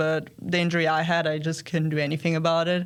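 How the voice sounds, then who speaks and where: A woman speaks at a fairly quick pace with a fairly low pitch. The recording is very clean, with a silent background. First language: German and Serbian. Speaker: college tennis player. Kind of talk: casual interview.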